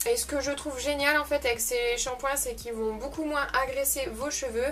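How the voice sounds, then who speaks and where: In a northern French accent, a woman talks at a moderate pace with a high pitch and fairly even intonation. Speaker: beauty youtuber. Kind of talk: unboxing video. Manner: hesitant, many fillers.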